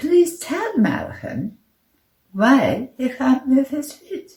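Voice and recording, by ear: A woman puts on a character voice, high-pitched and slightly mellow, with big pitch swings at a very slow pace.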